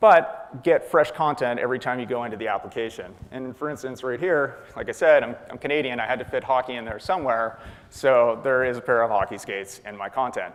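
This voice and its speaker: At a fairly quick pace, a man speaks with medium pitch, ordinary pitch variation and big swings in loudness. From Atlantic Canada (far east coast). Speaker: software developer, conference speaker. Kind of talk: conference talk.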